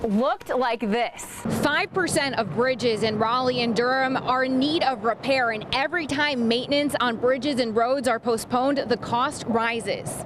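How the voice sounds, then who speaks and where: A woman with an American accent talks at a moderate pace with hardly any pauses, her pitch high and its variation ordinary. Noticeable background noise sits behind her. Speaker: TV news reporter and anchor. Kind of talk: TV news reporting and live stand-ups.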